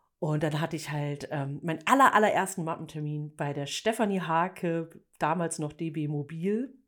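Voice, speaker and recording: On a very clean recording with a silent background, a woman with a plain, everyday voice speaks at a moderate pace, fairly low in pitch with ordinary pitch variation. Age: 40s. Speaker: editorial photographer. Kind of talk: casual chat.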